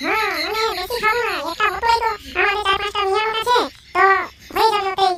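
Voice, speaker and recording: A woman uses a cartoonish character voice, extremely high in pitch and fairly quick in pace. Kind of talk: rustic comic dialogue. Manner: bold, teasing.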